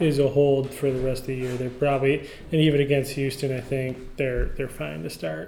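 Using an ordinary speaking voice, a man with a fairly high pitch talks at a moderate pace with fairly even intonation. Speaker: fantasy football podcast host. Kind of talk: casual banter, recap podcast. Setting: office.

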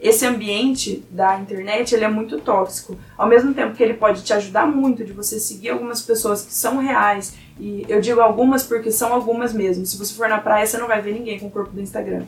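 There is noticeable background noise as a woman talks at a fairly quick pace. Her pitch is fairly high and her intonation fairly even. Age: 20s. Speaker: university student. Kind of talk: casual chat.

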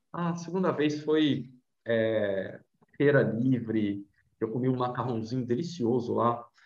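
Speaking at a fairly slow pace, a man has an ordinary speaking voice at a medium pitch. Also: ordinary pitch variation. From Brazil, Vitória, Espírito Santo. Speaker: travel blogger and journalist. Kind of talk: casual interview chat.

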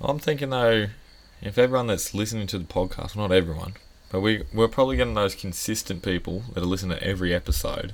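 A man with an Australian accent, very fast delivery and ordinary pitch variation. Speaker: podcast co-host. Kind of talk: casual chat. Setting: outdoor backyard bar.

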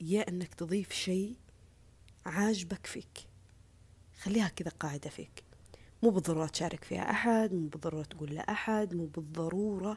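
Somewhat breathy and fairly low-pitched, a woman speaks with ordinary pitch variation. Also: moderate pace. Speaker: social media personality. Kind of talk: casual monologue. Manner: earnest, repetitive.

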